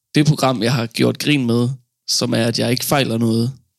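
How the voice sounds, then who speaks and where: Using an unremarkable speaking voice, a man holds a medium pitch and keeps his intonation fairly even. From Denmark, Funen. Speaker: stand-up comedian. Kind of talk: interview. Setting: studio.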